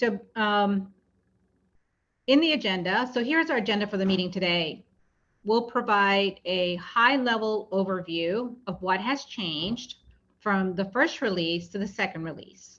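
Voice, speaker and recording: Over a quiet background, a woman speaks in a normal speaking voice at medium pitch, fairly slowly, with ordinary pitch variation. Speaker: project presenter. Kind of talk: public meeting presentation. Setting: virtual meeting.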